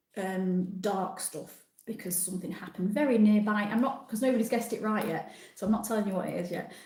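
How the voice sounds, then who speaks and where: In a Yorkshire accent, a somewhat breathy voice with a dark, mellow tone moves with ordinary pitch variation over audible room echo. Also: woman. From Yorkshire, northern England. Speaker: travel vlogger. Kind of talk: live stream chat with viewers. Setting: live stream from a different room at home. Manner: casual, chatty.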